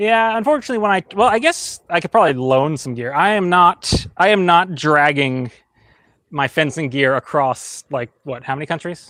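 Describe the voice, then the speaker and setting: Lively intonation marks this man's fairly high, bright, sharp voice. The sound is dry and close with no echo, on a very clean recording with a silent background. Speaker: sword fighting youtuber. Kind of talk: casual chat. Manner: fast; animated.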